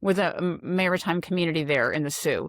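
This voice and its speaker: The sound is dry and close, with no echo and a silent background on a very clean recording. A woman speaks fairly quickly at medium pitch in an animated tone. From US Mid-Atlantic, Maryland. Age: 60s. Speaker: retired coast guard admiral. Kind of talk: podcast interview. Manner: animated storytelling.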